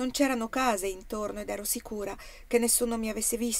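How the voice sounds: The intonation holds fairly even. It belongs to a natural reading voice.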